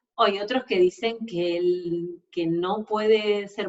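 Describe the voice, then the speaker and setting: A woman's medium-pitched voice with an Argentine accent. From Argentina. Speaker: sports nutritionist. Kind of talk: webinar lecture. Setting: online webinar.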